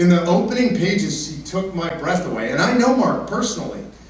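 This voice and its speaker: A man with an American accent talks at a fairly quick pace. Noticeable background noise and audible room echo fill the recording. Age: 50s. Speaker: political activist and speaker. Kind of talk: public speech. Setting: town hall with live audience. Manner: conversational, addresses audience directly.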